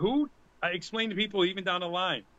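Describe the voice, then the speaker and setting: A man with a Boston accent, high-pitched and very fast. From Boston area, US. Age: 50s. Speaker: music fan and event volunteer. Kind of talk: casual chat. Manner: animated.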